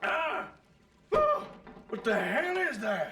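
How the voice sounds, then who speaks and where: A man speaks in a cartoonish character voice, pitched high. His voice is raised and projected. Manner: gruff, reserved.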